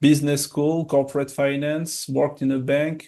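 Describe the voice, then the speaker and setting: A man's fairly high-pitched voice with a French accent. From France. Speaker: documentary filmmaker. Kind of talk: interview. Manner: hesitant, many filler sounds.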